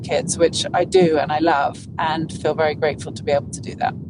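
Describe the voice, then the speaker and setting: A woman speaks with an English accent. She talks at a fairly quick pace. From England. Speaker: golf broadcaster. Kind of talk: interview. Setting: podcast interview.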